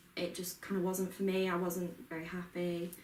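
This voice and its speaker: A woman's medium-pitched voice at a moderate pace, with audible room echo and noticeable background noise. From Yorkshire Dales, northern England. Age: 20s. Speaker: mental health peer support worker. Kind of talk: casual interview.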